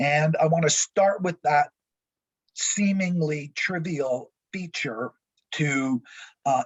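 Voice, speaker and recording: A man talks at a fairly slow pace with a fairly high pitch. His voice is somewhat breathy, with ordinary pitch variation. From Quebec, Montreal. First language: French. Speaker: college professor. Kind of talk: lecture.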